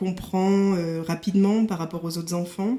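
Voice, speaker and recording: Fairly low in pitch, a woman speaks at a moderate pace. Her intonation stays fairly even. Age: 40s. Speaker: company director with burnout. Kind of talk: testimony. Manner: hesitant, many fillers.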